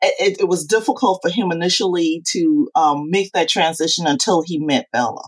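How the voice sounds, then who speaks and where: Using a normal speaking voice, a woman with an American accent talks at a moderate pace and medium pitch, with lively intonation and hardly any pauses. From Charleston, South Carolina. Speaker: author. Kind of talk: casual interview.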